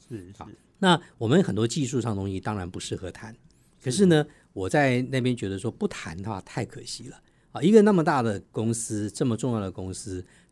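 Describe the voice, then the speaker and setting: Against a quiet background, a man in a normal speaking voice at medium pitch talks at a fairly quick pace with lively intonation and big swings in loudness. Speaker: corporate sustainability officer and spokesperson. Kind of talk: radio interview.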